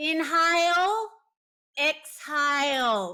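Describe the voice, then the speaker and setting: In a loud, put-on character voice, a female-sounding speaker pitches extremely high. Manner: barking instructions.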